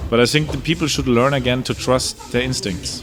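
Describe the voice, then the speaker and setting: With music in the background, a man speaks in a German accent at a medium pitch. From Germany. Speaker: electronic music producer and DJ. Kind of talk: interview. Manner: animated.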